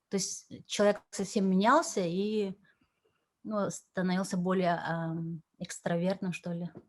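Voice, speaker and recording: The woman's pitch stays medium and her intonation fairly even as she talks at a very slow pace. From Yakutia, Russia. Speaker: translator and cultural envoy. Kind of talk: interview. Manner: halting, many fillers.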